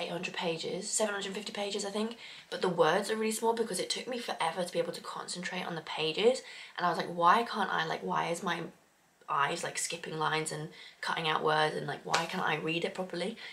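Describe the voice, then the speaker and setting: A woman talks at a very fast pace, medium in pitch with ordinary pitch variation. Noticeable background noise sits behind her. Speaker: book vlogger. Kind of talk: casual vlog.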